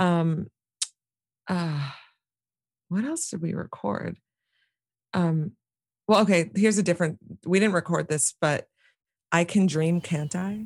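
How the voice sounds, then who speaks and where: A somewhat breathy woman with a fairly low pitch and ordinary pitch variation speaks at a fairly slow pace with long, frequent pauses, on a very clean recording with a silent background and a dry, close sound without echo. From New York City, Manhattan. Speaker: singer and visual artist. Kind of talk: casual interview.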